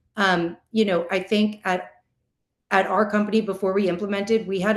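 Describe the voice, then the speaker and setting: A woman speaks with fairly even intonation. Audible room echo is present. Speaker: in-house attorney, panel speaker. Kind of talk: conference presentation. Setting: virtual summit, video call.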